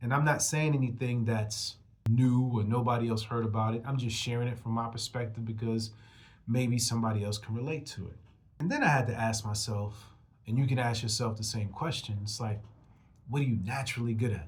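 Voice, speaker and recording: Somewhat breathy and with audible room echo, a man talks at a fairly quick pace, medium pitch and fairly even intonation. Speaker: rap artist and motivational podcast host. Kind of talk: motivational monologue. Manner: casual, conversational.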